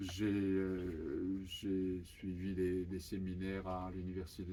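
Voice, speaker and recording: A man speaks very slowly with a Japanese accent and a monotone, flat intonation. His voice has a very deep, low pitch and a dark, mellow tone. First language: Japanese (speaking French). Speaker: author. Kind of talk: interview. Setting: bookshop event with audience. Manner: halting, many hesitations.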